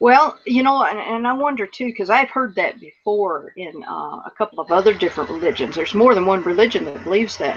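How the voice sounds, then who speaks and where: A woman talks at a fairly quick clip with hardly any pauses, her fairly high voice moving in lively intonation with an American accent over noticeable background noise. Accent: Southern US, getting stronger. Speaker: radio show co-host. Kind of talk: casual chat.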